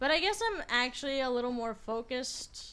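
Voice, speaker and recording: A quiet woman's voice at a moderate pace. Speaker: gaming video creator. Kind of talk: let's play commentary.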